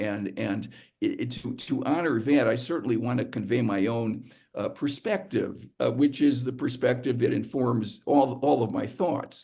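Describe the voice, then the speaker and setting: Fairly slow speech from a man, audible room echo around his voice. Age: 70s. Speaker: psychiatrist and psychoanalyst giving a talk. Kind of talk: lecture. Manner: halting, many fillers and repetitions; stutter-like repeats.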